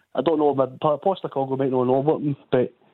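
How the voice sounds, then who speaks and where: A man with a west of Scotland accent talks at a very fast pace. His fairly high voice keeps a fairly even intonation. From Ardrossan, Ayrshire, Scotland. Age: 30s. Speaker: caller. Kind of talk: casual chat.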